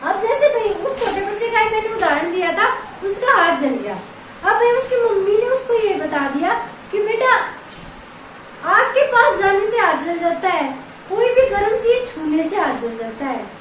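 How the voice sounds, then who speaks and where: Extremely high-pitched and lively in intonation, a woman speaks amid noticeable background noise and audible room echo. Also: fairly slow pace. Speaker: online exam-prep teacher. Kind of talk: lecture. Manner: conversational, repetitive explaining.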